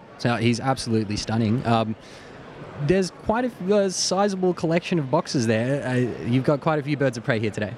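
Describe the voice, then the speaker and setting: A man with an Australian accent and medium pitch sounds excited and animated, using lively intonation at a very even loudness. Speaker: podcast host. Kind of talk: casual interview chat. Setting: busy expo, on location. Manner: excited, animated.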